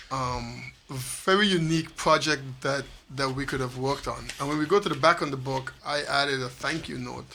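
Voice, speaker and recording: Against noticeable background noise, a man with a St. Maarten accent talks at a moderate pace in a fairly high pitch with ordinary pitch variation. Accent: Caribbean (St. Maarten). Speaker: author of a constitution translation book. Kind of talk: radio interview.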